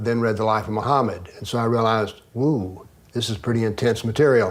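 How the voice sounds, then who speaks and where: Speaking very fast with an American accent, a man keeps a medium pitch and fairly even intonation in audible room echo. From US South. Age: 70s. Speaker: author and former professor. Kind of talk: interview.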